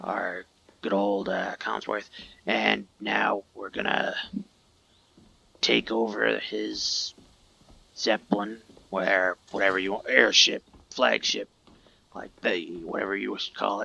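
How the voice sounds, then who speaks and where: A man puts on a raspy character voice, talking at a fairly slow pace with long, frequent pauses. The sound is dry and close, with no echo. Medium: game stream. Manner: casual, rambling.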